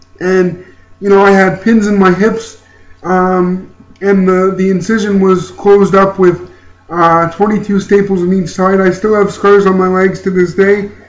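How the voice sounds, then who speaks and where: Over noticeable background noise, a man with a high pitch and a Canadian accent talks at a fairly slow pace with monotone, flat intonation and very even loudness. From Ontario, Canada. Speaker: YouTuber and motivational speaker. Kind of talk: personal vlog testimony. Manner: halting, many fillers.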